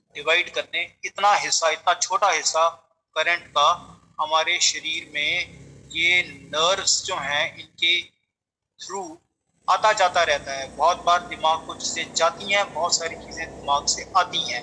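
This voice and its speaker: This man has a Punjabi accent and a high pitch, with a bright, sharp tone. His intonation stays fairly even. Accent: Punjabi-accented Hindi. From Punjab, India. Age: 50s. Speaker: meditation teacher. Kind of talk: spiritual lecture. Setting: talk with slides on screen.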